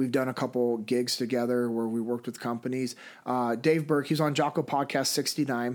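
A man with a Californian accent talks fairly quickly in a monotone, flat delivery, in a very clean recording with a silent background. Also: medium pitch for a man. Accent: General American (Californian). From US West, Sacramento, California. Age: 30s. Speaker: former Navy SEAL, leadership instructor and speaker. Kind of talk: interview conversation.

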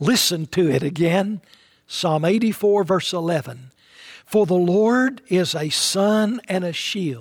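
A man with an East Tennessee accent, high-pitched, at a very slow pace, with ordinary pitch variation, on a very clean recording with a silent background. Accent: Southern US (East Tennessee). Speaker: pastor. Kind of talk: sermon.

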